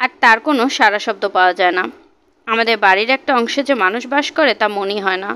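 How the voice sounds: The clip features a natural reading voice.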